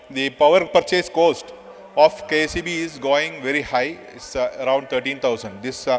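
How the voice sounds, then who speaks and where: Against noticeable background noise, a man speaks with fairly even intonation at a fairly high pitch. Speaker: power sector official. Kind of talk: conference presentation. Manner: fast; halting, many fillers.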